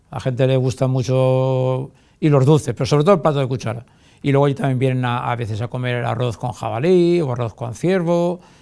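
Against a quiet background, a man with a dark, mellow tone talks at a fairly quick pace, his pitch varying in an ordinary way. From Valencia region, Spain. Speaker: mayor. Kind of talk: TV interview; interview answer. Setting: TV studio. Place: studio.

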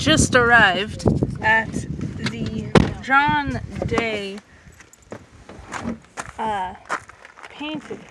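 A woman speaks over loud background noise in a dry sound with no echo. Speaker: travel vlogger. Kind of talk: casual vlog chat. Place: car. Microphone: phone near.

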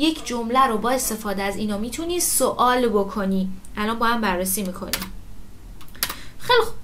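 Over light background noise, a woman talks in a fairly high voice with ordinary pitch variation and long, frequent pauses. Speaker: Turkish language teacher. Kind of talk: lecture. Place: home room.

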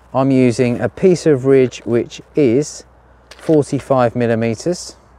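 Male speech, dry sound with no echo. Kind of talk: tutorial. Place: garden. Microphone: phone near.

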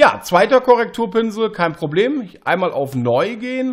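Speech at a fairly slow pace with very wide pitch swings comes through on a very clean recording with a silent background. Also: man. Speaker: photo editing tutorial creator. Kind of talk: tutorial. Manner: halting, many fillers.

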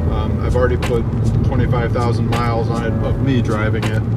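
A man is speaking. Music plays in the background. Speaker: vlogger. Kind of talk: casual vlog chat. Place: car. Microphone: phone near.

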